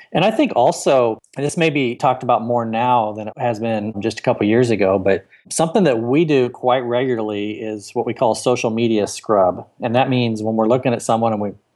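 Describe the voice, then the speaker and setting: At a fairly quick pace, a man talks in an ordinary speaking voice of medium pitch with ordinary pitch variation, over a quiet background. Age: 40s. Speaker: author and executive search consultant. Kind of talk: interview. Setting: studio or Skype call.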